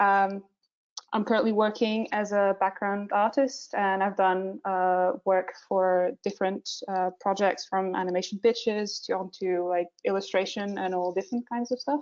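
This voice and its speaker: A woman speaks with a Portuguese accent at a medium pitch. Her intonation is fairly even and her pace moderate. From Portugal. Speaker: visual development artist. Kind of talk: webinar presentation. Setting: online webinar, screen sharing. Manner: hesitant, many filler sounds.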